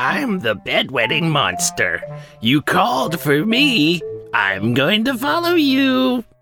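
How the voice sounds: Faint music plays behind a man doing a put-on character voice at a high pitch and a fairly slow pace.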